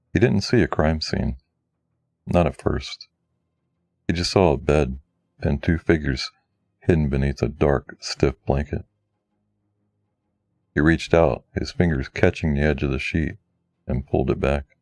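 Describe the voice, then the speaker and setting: Vocal fry marks this voice, which has ordinary pitch variation and long, frequent pauses on a dry, close recording with no echo. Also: man, very deep, low pitch for a man, moderate pace. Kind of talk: true crime narration.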